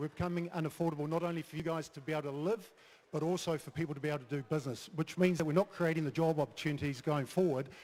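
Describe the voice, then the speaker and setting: With a New Zealand accent, this voice moves at a very fast pace with ordinary pitch variation. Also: man. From New Zealand, Wellington. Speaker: mayoral candidate, business owner. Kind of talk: political debate speech.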